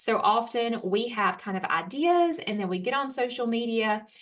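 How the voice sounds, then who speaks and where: A woman with an Alabama accent, her lively intonation at a fairly slow pace. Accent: Southern US (Alabama). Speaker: homeschool educator and small publisher. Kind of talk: workshop talk. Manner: casual, with filler words; occasional stumbles.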